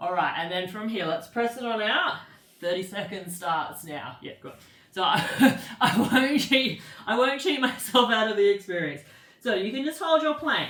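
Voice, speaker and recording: Through audible room echo and noticeable background noise, a fairly high-pitched woman speaks at a moderate pace, with very wide pitch swings and big shifts in loudness. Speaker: pilates instructor. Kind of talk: guided fitness class.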